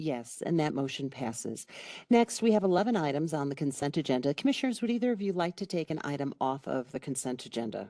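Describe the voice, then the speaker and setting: A woman's very fast voice in a slight Chicago accent, very deep and low in pitch with very wide pitch swings, dark and mellow in tone, over a quiet background. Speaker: county commissioner chairing meeting. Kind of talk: public meeting chairing. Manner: formal.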